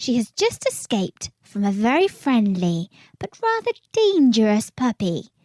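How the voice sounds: The clip has a natural reading voice against a quiet background.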